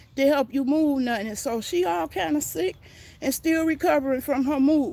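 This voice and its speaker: Pitched high, a woman speaks at a fairly slow pace. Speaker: gardening vlogger. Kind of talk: casual livestream chat. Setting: outdoors.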